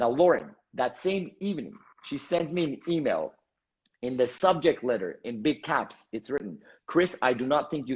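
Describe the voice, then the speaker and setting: In an Armenian accent, a man speaks at a moderate pace with lively intonation. The background is quiet. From Canada, Montreal. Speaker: entrepreneur and motivational speaker. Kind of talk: interview storytelling. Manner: animated.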